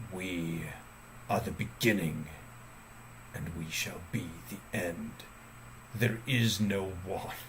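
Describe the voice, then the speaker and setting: Over clear background noise, a man does a put-on character voice that is very deep and low, speaking very slowly with long, frequent pauses. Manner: ominous, eerie.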